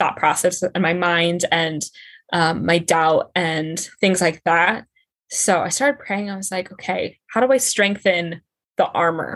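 A woman's plain, everyday voice, fairly low-pitched and fairly even in intonation, at a moderate pace with a General American accent. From Colorado. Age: 20s. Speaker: entrepreneur and professional dancer. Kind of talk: casual chat.

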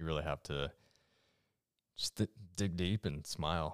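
Dry and close with no echo, a man's very deep, low voice carries vocal fry at a moderate pace. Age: 20s. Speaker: endurance athlete and podcast co-host. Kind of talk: casual chat.

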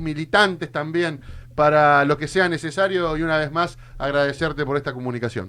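A man speaks at a moderate pace with a fairly high pitch. His tone is bright and sharp. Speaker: radio co-host. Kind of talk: radio interview. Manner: animated.

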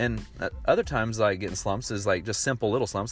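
A man with a normal speaking voice, fairly low in pitch, with ordinary pitch variation and a fairly quick pace. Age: 30s. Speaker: podcast host. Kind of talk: casual monologue. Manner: rambling, conversational.

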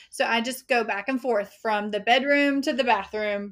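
In a plain, everyday voice, a woman with a fairly high pitch speaks at a moderate pace with fairly even intonation, on a very clean recording with a silent background. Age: 30s. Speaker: weight loss coach. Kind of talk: interview.

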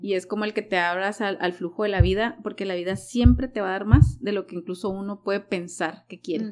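With a plain, everyday voice, a woman at medium pitch talks at a fairly quick pace, hardly any pauses, and big swings in loudness. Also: fairly even intonation. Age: 30s. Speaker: life coach. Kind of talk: casual interview.

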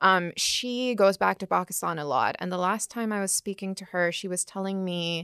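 On a very clean, dry and close recording with a silent background and no echo, a woman speaks at a moderate pace in an ordinary speaking voice of medium pitch, with fairly even intonation and big swings in loudness. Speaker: podcast host. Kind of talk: scripted narration; interview.

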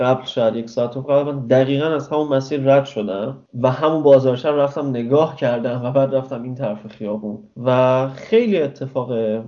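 Medium in pitch, the man has an unremarkable speaking voice. His intonation is fairly even. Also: moderate pace. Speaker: traveler. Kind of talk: interview.

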